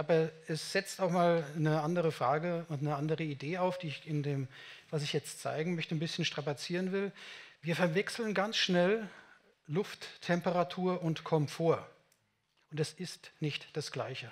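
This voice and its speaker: With fairly even intonation, a man speaks at a high pitch. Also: moderate pace. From Germany, Munich; Germany. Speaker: building physicist / climate engineer; invited lecturer. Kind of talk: conference talk. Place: meeting room. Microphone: headset.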